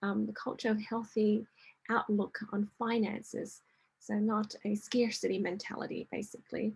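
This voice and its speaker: The speaker uses vocal fry and a monotone, flat intonation at a moderate pace. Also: woman, fairly high pitch for a woman. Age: 50s. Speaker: wellness coach and presenter. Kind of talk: online workshop presentation. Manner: hesitant, many fillers.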